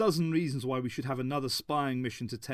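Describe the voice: Someone reads out loud. The delivery is plain.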